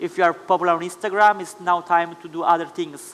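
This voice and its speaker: An Italian accent marks a man's high-pitched voice, delivered in a flat monotone. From Italy. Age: 20s. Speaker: Instagram influencer. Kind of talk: panel talk. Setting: stage with audience.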